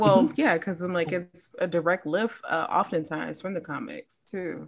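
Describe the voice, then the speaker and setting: A woman with an American accent talks with vocal fry. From Chicago, US Midwest. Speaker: comic book writer. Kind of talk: casual interview.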